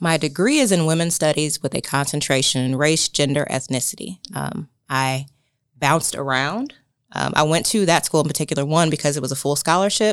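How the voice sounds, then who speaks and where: On a very clean recording with a silent background, a woman with an American accent talks at a fairly quick pace in a very deep, low voice with ordinary pitch variation. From Indiana, US Midwest. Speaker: wellness organization director. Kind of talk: casual interview. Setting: studio.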